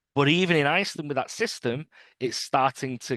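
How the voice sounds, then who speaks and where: A man with a British accent talks at a moderate pace with ordinary pitch variation. The sound is dry and close with no echo, over a quiet background. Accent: British accent, noticeable. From UK. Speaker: trade union organizer. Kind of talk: interview. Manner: halting, many repetitions and fillers.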